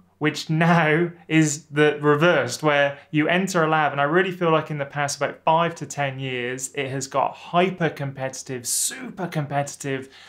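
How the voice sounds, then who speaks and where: Against a quiet background, a man with a British accent speaks slowly in a fairly high pitch, keeping his intonation fairly even. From UK. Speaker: YouTuber and former academic chemist; academic advice youtuber. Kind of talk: vlog advice talk to camera. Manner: casual, with frequent fillers. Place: office.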